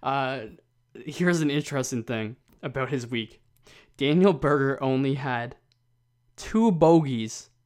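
Fairly high male pitch with ordinary variation, a man at a fairly slow pace, on a very clean recording with a silent background. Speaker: golf podcast co-host. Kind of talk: casual chat. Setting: office room at home. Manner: quiet, trying to speak softly.

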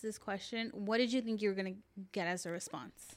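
A woman with a plain, everyday voice talks at a moderate pace and fairly high pitch, with ordinary pitch variation. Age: 20s. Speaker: podcast co-host. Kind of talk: casual chat.

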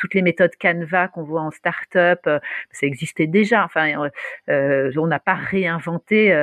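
A woman at a fairly slow pace with ordinary pitch variation, dry and close with no echo, against a quiet background. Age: 40s. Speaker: startup founder. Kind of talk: interview. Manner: animated.

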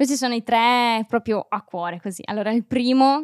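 A normal speaking voice at a moderate pace, in a very clean recording with a silent background and a dry, close sound with no echo. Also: woman. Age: 20s. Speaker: set designer. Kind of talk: casual chat.

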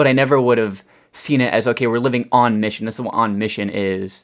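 On a very clean recording with a silent background, a man in an ordinary speaking voice talks fairly quickly at a medium pitch with ordinary pitch variation. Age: young. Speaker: customer service worker and bible student. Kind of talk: casual chat.

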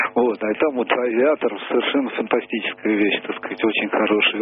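With background music playing, a man delivers his words at a moderate pace. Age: 70s. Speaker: caller. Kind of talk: phone-in discussion.

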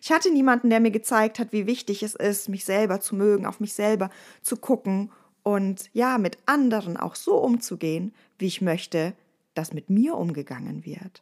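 A woman speaks at a medium pitch with lively intonation. The recording is very clean, with a silent background. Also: moderate pace. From Bavaria, Ostallgäu. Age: 30s. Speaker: resilience trainer and podcast host. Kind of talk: casual podcast monologue.

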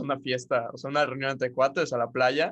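The speaker talks at a very fast pace in a Mexican accent. The intonation stays fairly even. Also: man. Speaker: podcast host. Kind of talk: casual chat.

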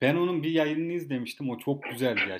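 His pitch sits fairly high for a man. The amount it varies is ordinary. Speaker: podcast host. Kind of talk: casual chat.

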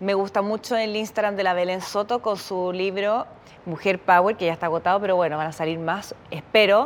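Her medium-pitched voice moves at a fairly quick pace with fairly even intonation. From Chile. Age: 30s. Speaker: podcast host. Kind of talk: casual chat.

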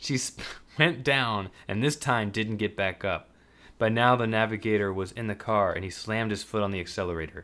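Plain reading aloud with fairly even intonation

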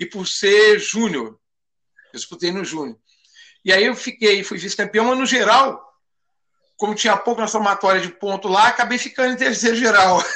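Speaking at a moderate pace with long, frequent pauses, a man uses a high pitch and fairly even intonation. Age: 50s. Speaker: judo instructor. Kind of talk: casual interview.

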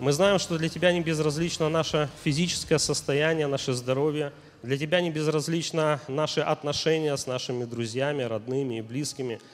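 This man has a normal speaking voice, pitched fairly high, at a moderate pace. His intonation stays fairly even. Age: young. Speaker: minister. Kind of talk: prayer. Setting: church service broadcast live.

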